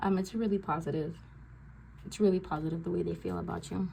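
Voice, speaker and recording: A woman is speaking. Her pace is moderate. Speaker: tarot reader. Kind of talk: tarot reading. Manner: filler-heavy, many ums.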